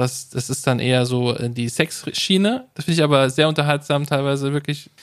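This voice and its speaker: A man with a fairly high pitch speaks in a plain, everyday voice at a moderate pace. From Hesse, Rüsselsheim. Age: 30s. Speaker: podcast host. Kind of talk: casual chat.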